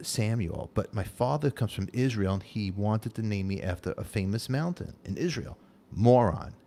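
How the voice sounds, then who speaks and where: Someone speaks at a moderate pace with a Brooklyn accent, the tone dark and mellow. The intonation is lively. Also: man. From Brooklyn, New York (Canarsie). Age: 50s. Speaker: talk show host. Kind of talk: casual chat.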